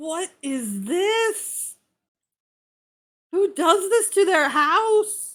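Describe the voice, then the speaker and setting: In a put-on character voice, the speaker shouts at a very slow pace with lively intonation and long, frequent pauses. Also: woman, extremely high pitch for a woman. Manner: shouting, indignant.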